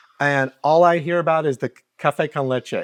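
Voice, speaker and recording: Here is a man with a fairly high pitch and fairly even intonation, a plain, everyday voice. The sound is dry and close with no echo. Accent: American. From US Midwest (Kansas). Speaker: talk show host. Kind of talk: casual interview.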